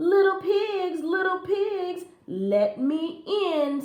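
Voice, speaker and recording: In a put-on character voice, a woman speaks at a very slow pace with an extremely high, squeaky pitch. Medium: read story. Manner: menacing.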